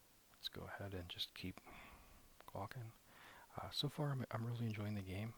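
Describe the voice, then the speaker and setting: With a relaxed tone, a soft-spoken man talks in a somewhat breathy voice with ordinary pitch variation. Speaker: ASMR gaming YouTuber. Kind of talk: casual gaming commentary, ASMR. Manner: soft-spoken, relaxed.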